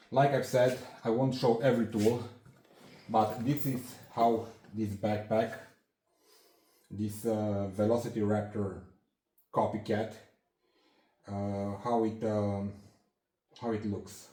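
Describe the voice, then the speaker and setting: A non-native accent, very slow pace with long, frequent pauses, a dark, mellow, somewhat breathy tone, monotone, flat intonation, and audible room echo. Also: man, fairly low pitch for a man. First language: not English. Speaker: hobbyist handyman YouTuber. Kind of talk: tool show-and-tell tutorial. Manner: halting, many fillers and restarts.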